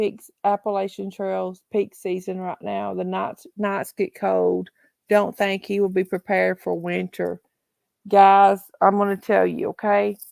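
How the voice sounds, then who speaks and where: A woman with a Southern US accent talks at a fairly slow pace, her sound dry and close with no echo, on a very clean recording with a silent background. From Tennessee. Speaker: livestream host. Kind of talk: casual live chat. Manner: halting, repetitive.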